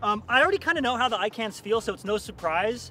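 Faint music sits in the background as a man talks at a very fast pace, the sound dry with no echo. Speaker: cycling vlogger. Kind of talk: casual vlog chat. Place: street. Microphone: phone near.

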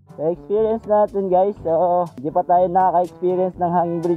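Faint music sits in the background while the speaker talks at a fairly quick pace. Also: dry sound with no echo. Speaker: motovlogger. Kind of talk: casual vlog chat. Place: waterside. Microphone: helmet.

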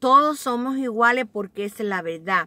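A woman's high-pitched voice, warm yet bright and sharp in tone, with ordinary pitch variation and a fairly slow pace, dry with no echo against a quiet background. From Cuba. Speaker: vlogger. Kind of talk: casual, confiding vlog chat, story time. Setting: at home or in a car, bundled up, recording on a cold day in Staten Island. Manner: warm, chatty and affectionate, talks to viewers like close family; heartfelt, sincere and reflective when telling her life story. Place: car. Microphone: phone near.

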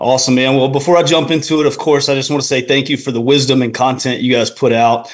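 A man with an American accent talks very fast at medium pitch with fairly even intonation. The background is quiet. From North Carolina. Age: 30s. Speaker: pastor. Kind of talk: call-in question. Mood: friendly, calm. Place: home room. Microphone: video call.

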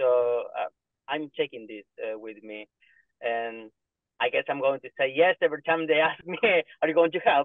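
A man with a Spanish accent speaks at a moderate pace with a fairly high pitch, ordinary pitch variation, big swings in loudness and long, frequent pauses, the sound dry with no echo over a quiet background. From Argentina. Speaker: family doctor; webinar panellist. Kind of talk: panel discussion. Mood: warm, moved, smiling. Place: car. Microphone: video call.

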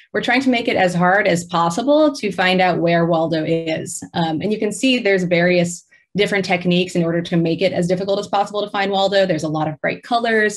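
A woman at a fairly quick pace against a quiet background. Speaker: presenter. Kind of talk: lecture. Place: home room. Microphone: webcam.

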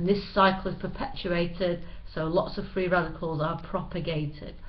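A woman with a Manchester accent talks at a moderate pace and fairly low pitch. Her intonation is fairly even, with noticeable background noise. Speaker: chemistry teacher. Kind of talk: educational lecture narration. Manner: plain, no-frills.

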